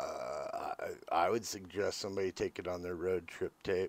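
A man at a fairly slow pace, dry sound with no echo. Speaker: music reaction video host. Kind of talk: casual reaction commentary. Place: home room. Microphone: phone near.

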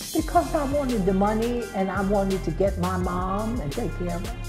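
Clear music plays behind a woman's voice. She speaks at a moderate pace. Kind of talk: interview answer. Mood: defiant, sassy. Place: home room. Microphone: lapel.

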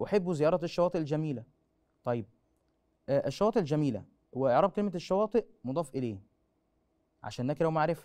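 A man's fairly high voice with a dark, mellow tone, lively intonation and a fairly quick pace, broken by long, frequent pauses, against a quiet background. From Egypt. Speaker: school teacher. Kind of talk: lecture. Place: studio. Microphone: lapel.

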